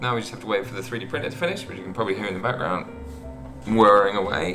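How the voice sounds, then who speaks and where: A man with clear music in the background. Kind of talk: casual vlog chat. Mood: self-mocking, lighthearted. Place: home room.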